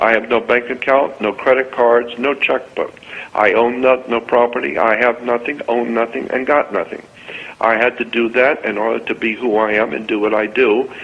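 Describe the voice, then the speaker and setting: There is noticeable background noise as a man speaks with an American accent at medium pitch. His pace is moderate and his intonation fairly even. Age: 70s. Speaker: radio show guest, conspiracy lecturer. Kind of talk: impassioned rant on a radio show. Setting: radio show.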